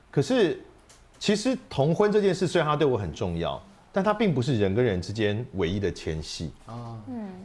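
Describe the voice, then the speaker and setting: Very wide pitch swings mark a man's medium-pitched voice. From Taiwan, second-generation mainlander family. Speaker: voice actor and debate association head. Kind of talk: casual interview chat.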